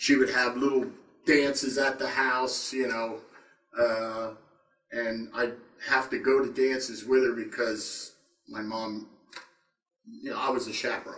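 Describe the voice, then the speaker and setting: A man with an American accent speaks at medium pitch in a monotone, flat delivery at a fairly slow pace. He takes long, frequent pauses, and the room echo is audible. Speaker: rock singer. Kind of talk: interview. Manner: hesitant, many fillers.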